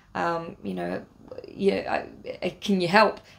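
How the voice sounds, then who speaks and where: A woman talks with an English accent. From England. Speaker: travel vlogger. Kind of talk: casual storytelling vlog. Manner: hesitant, many fillers.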